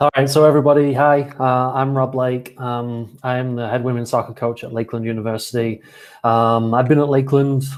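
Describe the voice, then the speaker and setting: A man in a British accent speaks at medium pitch with fairly even intonation. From Britain. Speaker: college soccer coach. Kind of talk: casual video chat.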